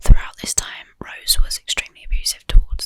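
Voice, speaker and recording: Whispering, a woman speaks at a fairly quick pace. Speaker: ASMR true crime YouTuber. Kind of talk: true crime ASMR narration. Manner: whispered, soft-spoken.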